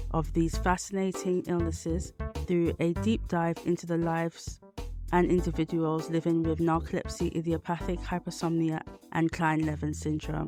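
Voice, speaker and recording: Speech at a moderate pace with music in the background. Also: woman. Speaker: podcast host and founder of a community interest company. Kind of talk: podcast intro.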